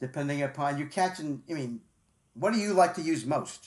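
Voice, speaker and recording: Over a quiet background, a man is speaking. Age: 60s. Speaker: sports radio host. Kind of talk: casual interview chat. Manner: halting, repetitive.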